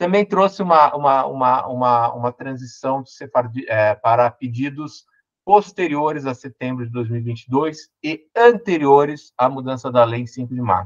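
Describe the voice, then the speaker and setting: With a Brazilian accent, a man speaks at medium pitch with ordinary pitch variation, big swings in loudness and hardly any pauses, in a dry, close sound with no echo. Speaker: lawyer and law professor. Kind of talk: online lecture. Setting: online event. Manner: fast.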